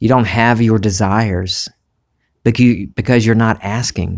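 Relaxed in tone, a man with a slight Southern US accent talks at a fairly slow pace, his medium pitch carrying fairly even intonation. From US South. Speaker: podcast host. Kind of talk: spiritual monologue. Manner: relaxed, conversational.

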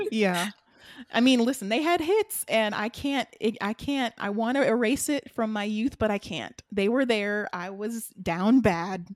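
In a very clean recording with a silent background and a dry, close sound with no echo, the speaker talks at a fairly slow pace with a Southern US accent. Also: woman, fairly high pitch for a woman, ordinary pitch variation. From US South. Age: 20s. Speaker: podcast co-host. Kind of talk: casual chat.

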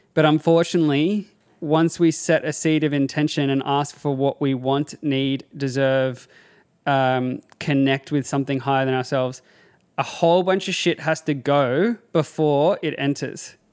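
At a fairly slow pace and with fairly even intonation, a man speaks at a fairly high pitch in a very clean recording with a silent background. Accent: Australian. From Australia (Sydney). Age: 30s. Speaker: psychologist and mental health advocate. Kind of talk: casual interview chat.

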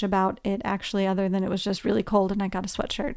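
A woman with a Midwestern American accent, medium-pitched, very fast, flat and monotone, with a dark, mellow tone. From US Midwest. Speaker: podcast co-host. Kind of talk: casual chat.

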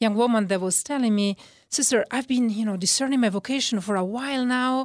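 A woman speaks at a fairly quick pace in a fairly high pitch, and the recording is very clean with a silent background. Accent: Italian. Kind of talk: religious teaching interview. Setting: pre-recorded studio segment.

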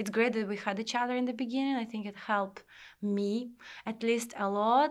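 A woman with a Russian accent, fairly even intonation, on a very clean recording with a silent background. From Russia, Irkutsk. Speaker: language teaching assistant. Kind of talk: group interview.

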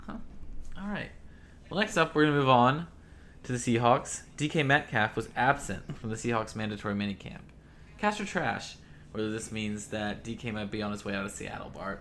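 Using an unremarkable speaking voice, a man talks at a moderate pace with a medium pitch and lively intonation. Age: 20s. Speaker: sports podcast host. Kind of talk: casual chat.

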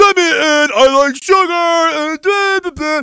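A put-on character voice from a man, fairly slow, pitched extremely high. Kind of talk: simple-minded. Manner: dull, repetitive, droning.

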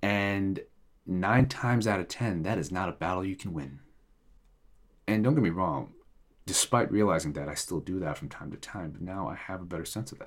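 With an American accent, a man speaks at a moderate pace in a very deep, low pitch. His intonation is lively, his loudness swings widely, and the recording is very clean with a silent background. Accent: sounds American. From Eritrea. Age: 30s. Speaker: immigrant guest. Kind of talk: casual interview. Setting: home studio.

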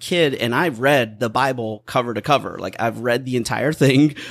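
A man's ordinary speaking voice at a moderate pace, medium pitch with ordinary variation, in a very clean recording with a silent background. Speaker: comedy theater owner and filmmaker. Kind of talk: casual chat. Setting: bar patio.

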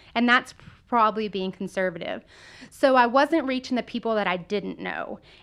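A woman's fairly high voice at a moderate pace, with ordinary pitch variation and a normal speaking voice. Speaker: real estate broker. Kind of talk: interview.

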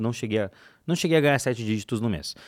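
Lively intonation marks this man's speech. The recording is very clean, with a silent background. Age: 20s. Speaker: digital marketing educator. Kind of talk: casual interview chat.

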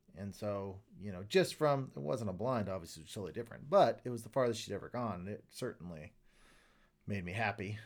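This is a normal speaking voice from a man, fairly low in pitch with ordinary pitch variation and a fairly quick pace. Loudness swings widely on a very clean recording with a silent background. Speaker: co-host, duck hunter. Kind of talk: casual interview chat.

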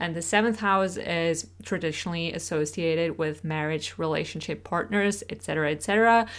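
A woman speaks with a Swiss German accent at a fairly low pitch. Her pace is fairly quick. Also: ordinary pitch variation. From Switzerland. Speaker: astrologer podcaster. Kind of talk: solo podcast introduction.

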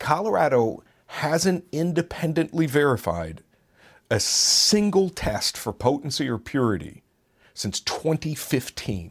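A man with a plain, everyday voice talks at a fairly slow pace, his fairly high pitch moving with lively intonation. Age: 40s. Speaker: addiction treatment center director and author. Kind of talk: interview.

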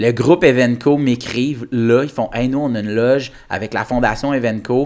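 A man with a plain, everyday voice, medium in pitch, at a moderate pace with fairly even intonation. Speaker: comedian. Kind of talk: casual chat.

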